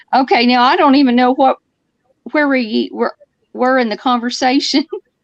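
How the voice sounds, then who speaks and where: A woman speaks in a high pitch with a Southern Alabama accent. The sound is dry and close, with no echo. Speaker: livestream participant. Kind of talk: casual chat. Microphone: audio was poor, now a little better.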